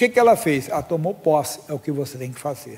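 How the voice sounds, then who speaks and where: A man's fairly high voice with a dark, mellow tone, at a moderate pace. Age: 60s. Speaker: pastor. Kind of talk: sermon.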